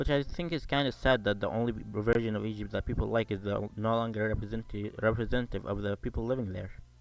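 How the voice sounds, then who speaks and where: A man with an Arabic accent, a fairly low pitch and a very fast pace. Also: ordinary pitch variation, hardly any pauses. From Sudan. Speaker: YouTuber, amateur creature designer. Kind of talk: casual scripted video narration. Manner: halting, frequent restarts.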